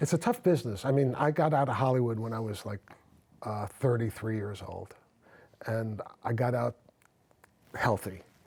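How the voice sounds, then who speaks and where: A man's somewhat breathy voice at a moderate pace, with ordinary pitch variation, long and frequent pauses, and a very clean recording over a silent background. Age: 60s. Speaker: talk show host and actor. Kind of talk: casual interview chat. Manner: halting, many fillers and repeats.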